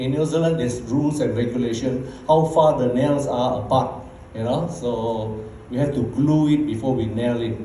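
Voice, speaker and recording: The speaker has a Bruneian accent and talks at a moderate pace. Audible room echo and noticeable background noise fill the recording. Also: man, medium pitch for a man, fairly even intonation. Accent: Bruneian Malay English. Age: 60s. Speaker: network marketing leader. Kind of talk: motivational talk. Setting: stage with audience. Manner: casual.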